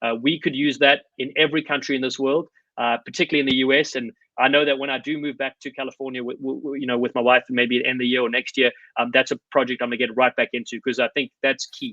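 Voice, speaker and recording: A man rattles along at a very fast pace and a medium pitch. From South Africa. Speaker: former rugby player and coach. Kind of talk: podcast interview. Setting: remote call. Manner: animated.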